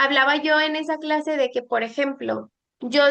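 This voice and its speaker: A woman talks at a fairly slow pace in a high voice. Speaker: law student presenting a class. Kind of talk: lecture.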